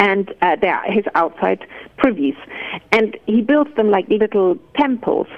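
Over noticeable background noise, a woman talks at a fairly slow pace with fairly high pitch, lively intonation and very even loudness. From Germany. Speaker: garden historian and author. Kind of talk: interview. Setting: phone call.

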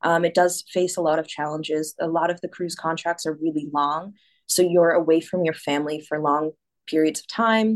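A woman with an American accent talks at a moderate pace with a fairly low pitch and fairly even intonation. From US Northeast, Massachusetts. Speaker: singer and dancer, cruise ship performer. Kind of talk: casual interview.

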